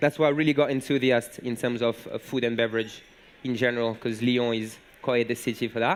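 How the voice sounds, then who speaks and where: A man of medium pitch with a French accent. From southern France, Montpellier. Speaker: bartender. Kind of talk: conference talk. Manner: halting, many fillers.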